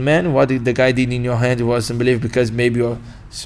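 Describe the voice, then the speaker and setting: A man with a medium pitch talks at a fairly quick pace, his intonation fairly even. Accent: Brazilian Portuguese. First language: Portuguese. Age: 20s. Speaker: martial arts instructor. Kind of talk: podcast interview. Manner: halting.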